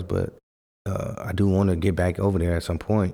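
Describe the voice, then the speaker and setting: A man with an American accent speaks at a moderate speed. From US West Coast, Fresno, California. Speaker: former pro basketball player and youth coach. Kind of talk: casual chat.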